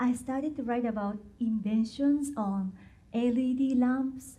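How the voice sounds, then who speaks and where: Heard with audible room echo, a woman with a Japanese accent speaks in a high pitch with a dark, mellow tone. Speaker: patent translator and technical writer. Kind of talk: conference talk.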